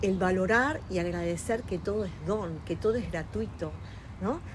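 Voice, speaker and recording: Fairly slow speech from a woman, audible room echo around her voice. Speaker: interviewee, host's mother. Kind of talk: interview, life story. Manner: hesitant, many fillers.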